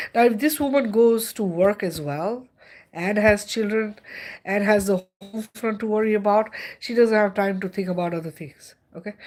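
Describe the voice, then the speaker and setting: In an Indian accent, a woman speaks at a medium pitch and a moderate pace with an animated tone and ordinary pitch variation. The recording is very clean with a silent background. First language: Indian language. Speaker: spiritual livestreamer. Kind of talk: livestream monologue. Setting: livestream.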